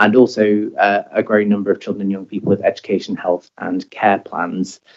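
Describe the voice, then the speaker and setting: A man speaks at a fairly quick pace. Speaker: local government health commissioner. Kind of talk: committee presentation. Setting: council meeting. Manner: hesitant, many fillers; normally loud.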